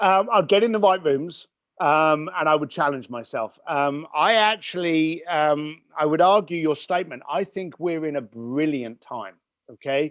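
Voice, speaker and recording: Against a quiet background, a man with a British accent talks at a fairly slow pace, in a fairly high pitch with ordinary pitch variation. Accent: British accent, noticeable to listeners. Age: 50s. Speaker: entrepreneur and business coach. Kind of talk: podcast interview. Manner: animated.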